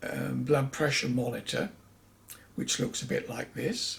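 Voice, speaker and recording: A man speaks with vocal fry. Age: 70s. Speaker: vlogger sharing health experiences. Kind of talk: personal vlog monologue. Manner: conversational with hesitations.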